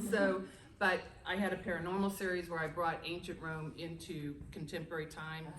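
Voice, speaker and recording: Audible room echo surrounds a woman talking at a fairly quick pace, her fairly low voice in a monotone, flat intonation. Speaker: romance author. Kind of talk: panel discussion. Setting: stage with audience. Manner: loud.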